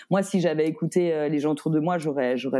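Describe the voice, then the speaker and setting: The tone is dark and mellow, captured in a very clean recording with a silent background. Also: woman. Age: 30s. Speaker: author and singer. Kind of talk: casual interview chat.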